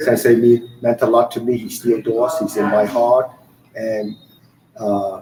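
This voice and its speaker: A man at a medium pitch and fairly slow pace, with noticeable background noise. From Bermuda. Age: 60s. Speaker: martial arts instructor. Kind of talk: interview.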